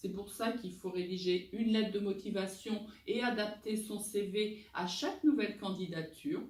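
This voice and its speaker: Amid audible room echo and noticeable background noise, a woman talks at a moderate pace with ordinary pitch variation. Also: medium pitch for a woman. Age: 50s. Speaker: recruiter and job-search coach. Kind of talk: advice talk answering viewer questions.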